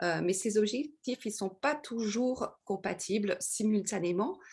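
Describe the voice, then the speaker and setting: This woman has a Parisian accent. She speaks at a medium pitch with ordinary pitch variation. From France, Paris. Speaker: webinar presenter on corporate social responsibility. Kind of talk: lecture. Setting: video call. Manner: hesitant, many fillers.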